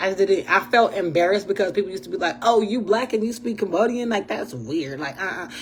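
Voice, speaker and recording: With noticeable noise behind her, a woman speaks very fast in an animated tone. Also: medium pitch for a woman, hardly any pauses. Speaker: podcast host. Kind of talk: casual monologue.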